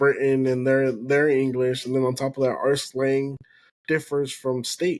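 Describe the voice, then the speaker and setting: A male voice of medium pitch at a moderate pace. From Texas, Houston; Spanish-speaking immigrant family. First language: Spanish. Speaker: podcast host. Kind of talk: casual chat.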